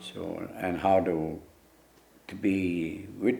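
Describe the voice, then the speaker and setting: Audible room echo surrounds a man whose very deep, low voice has a dark, mellow tone and ordinary pitch variation. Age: 70s. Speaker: elder and ceremonial leader. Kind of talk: interview testimony. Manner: halting, many repetitions and fillers.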